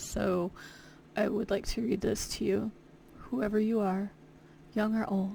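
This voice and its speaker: A woman talks with vocal fry and a dark, mellow tone. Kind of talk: children's book read-aloud. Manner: casual, rambling.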